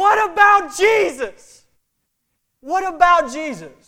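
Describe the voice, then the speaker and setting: A put-on character voice shouts at an extremely high pitch and a very slow pace. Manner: screaming.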